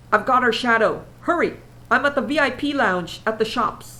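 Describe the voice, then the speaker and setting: High-pitched put-on character voice from a woman, delivered at a moderate pace. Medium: read story.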